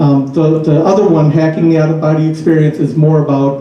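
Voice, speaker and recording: With an American accent, a man speaks at a moderate pace in a fairly high pitch and fairly even intonation, amid noticeable background noise and audible room echo. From northern US. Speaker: author and speaker on out-of-body experiences. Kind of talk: talk with Q&A. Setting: talk to a study group audience. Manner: hesitant, many fillers.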